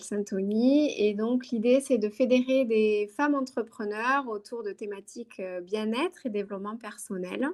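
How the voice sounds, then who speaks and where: A woman speaks with a southern French accent at a fairly slow pace. Her pitch is fairly high, with ordinary pitch variation. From southern France, Toulouse. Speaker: career transition coach and yoga teacher. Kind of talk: interview. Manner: hesitant, many fillers.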